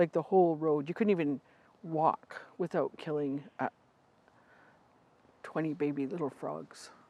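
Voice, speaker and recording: A woman with a very deep, low pitch and a dark, mellow tone speaks at a fairly slow pace, leaving long, frequent pauses. Her intonation is fairly even, and the sound is dry and close with no echo. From Vancouver Island, Canada. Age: 60s. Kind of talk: casual interview.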